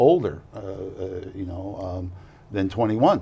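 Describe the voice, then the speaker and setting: A somewhat breathy man's voice at a fairly slow pace. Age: 60s. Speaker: university chancellor. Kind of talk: casual chat. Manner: halting.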